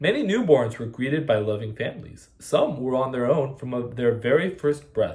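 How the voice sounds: A natural reading voice comes through in the recording.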